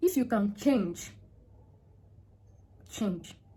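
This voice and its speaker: A woman's fairly high, somewhat breathy voice with lively intonation at a very slow pace. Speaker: vlogger giving relationship advice to women. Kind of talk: casual vlog monologue. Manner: slow, naturally; hesitant, with many fillers.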